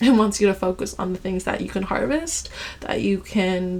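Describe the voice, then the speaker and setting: A woman's medium-pitched voice at a fairly slow pace, with ordinary pitch variation and noticeable background noise. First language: Ilocano as a child, now native English. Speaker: tarot card reader. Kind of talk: tarot reading monologue. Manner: casual, filler-heavy.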